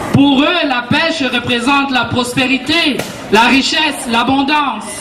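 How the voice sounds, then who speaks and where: Music plays in the background as a woman speaks at a very slow pace. Her pitch is high and her intonation fairly even. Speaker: storyteller. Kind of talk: storyteller's introduction to audience. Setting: outdoors.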